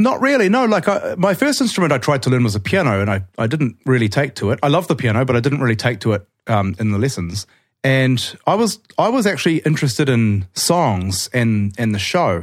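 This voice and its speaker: A man with a New Zealand accent at a medium pitch, very wide pitch swings, a fairly quick pace and very even loudness, on a very clean recording with a silent background. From Auckland, New Zealand. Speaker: guitarist and songwriter.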